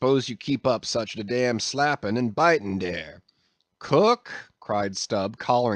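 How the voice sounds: The background stays quiet. Someone reads in a natural reading voice.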